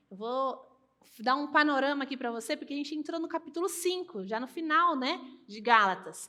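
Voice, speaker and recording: With a raised, projected voice, a woman speaks at a high pitch and a moderate pace, her bright, sharp tone moving through very wide pitch swings. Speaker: pastor. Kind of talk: sermon.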